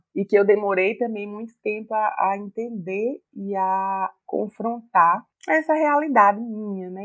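A medium-pitched woman with a northeastern Brazilian accent and ordinary pitch variation. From Paraíba, Campina Grande. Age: 40s. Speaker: writer. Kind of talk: interview.

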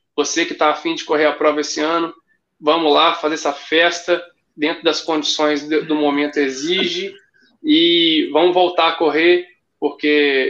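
With a bright, sharp tone, a man talks at a fairly high pitch and a moderate pace in a monotone, flat intonation. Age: 30s. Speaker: running event ambassador. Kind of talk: casual chat.

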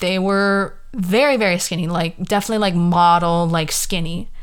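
With an American accent, a woman talks at medium pitch with ordinary pitch variation. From California. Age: 20s. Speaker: podcast host. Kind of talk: casual solo monologue.

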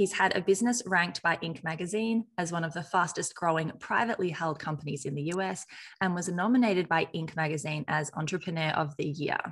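A somewhat breathy woman with a fairly low pitch talks at a fairly quick pace with hardly any pauses, against a quiet background. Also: ordinary pitch variation. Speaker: podcast host and marketing agency CEO. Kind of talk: interview, host intro and outro. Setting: virtual call, remote guest.

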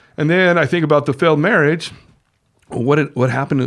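In a very clean recording with a silent background, a man with a fairly high voice talks at a very fast pace. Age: 50s. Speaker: returning podcast guest. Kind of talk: casual chat.

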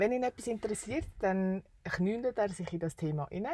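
A woman has a normal speaking voice at a medium pitch. She speaks at a moderate pace with lively intonation. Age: 30s. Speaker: travel podcaster. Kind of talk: casual chat.

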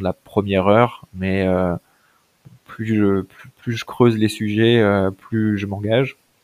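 A man speaks very slowly in a fairly low voice. His intonation is monotone and flat. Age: 30s. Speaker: entrepreneur. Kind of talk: interview.

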